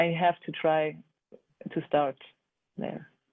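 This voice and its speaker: A very slow delivery in a German accent. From Germany. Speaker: art educator. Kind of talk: online seminar discussion. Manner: halting.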